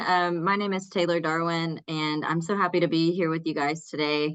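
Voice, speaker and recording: A woman with a fairly low pitch speaks with hardly any pauses. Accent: strong Texas. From Texas, small town. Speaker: community college instructor. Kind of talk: workshop presentation.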